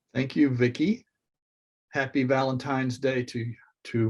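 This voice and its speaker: A man speaks in a medium pitch with an American accent. His voice is somewhat breathy, with fairly even intonation. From US South, Miami, Florida. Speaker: artist. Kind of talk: presentation. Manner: halting.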